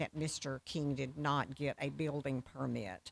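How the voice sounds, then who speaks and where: There's vocal fry in this woman's voice, and she speaks at a fairly slow pace. The sound is dry and close, with no echo. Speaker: county planning staff. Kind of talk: public meeting presentation. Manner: loud, carrying voice.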